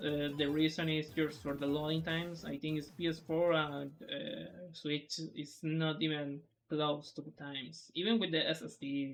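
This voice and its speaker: Speech in a Spanish accent with hardly any pauses. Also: moderate pace. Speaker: speedrunner. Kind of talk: tutorial. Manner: halting.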